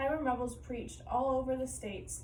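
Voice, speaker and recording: Over noticeable background noise and audible room echo, a woman with a fairly high pitch speaks at a fairly quick pace. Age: 20s. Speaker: college student. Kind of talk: class presentation.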